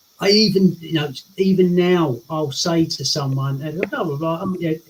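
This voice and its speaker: Here a man speaks at a high pitch with an English accent. His pace is moderate. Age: 60s. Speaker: lifestyle coach. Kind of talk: interview chat. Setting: live stream. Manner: animated.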